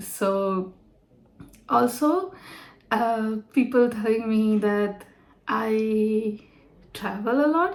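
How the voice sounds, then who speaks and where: Speaking at a very slow pace, a woman uses a fairly high pitch and lively intonation. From India. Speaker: vlogger. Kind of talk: casual vlog talk. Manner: halting.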